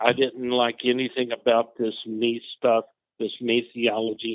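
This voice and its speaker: This man has a medium pitch and speaks at a moderate pace. His intonation is monotone and flat. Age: 60s. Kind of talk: testimony.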